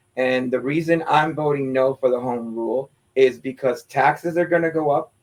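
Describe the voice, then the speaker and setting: A man has an ordinary speaking voice with a fairly high pitch. His pitch varies in an ordinary way at a moderate pace. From Pennsylvania, Lancaster County (Puerto Rican family). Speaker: former teacher and community activist. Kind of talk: interview on local politics.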